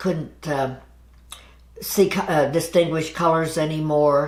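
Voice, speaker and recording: This woman's voice is very deep and low. There is audible echo in the room. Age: 70s. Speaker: massage therapist. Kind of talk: interview. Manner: halting.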